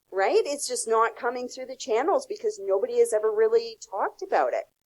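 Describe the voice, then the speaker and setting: A woman with a Canadian accent talks at a fairly quick pace, with big swings in loudness. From Canada. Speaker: customer success consultant. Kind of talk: podcast interview.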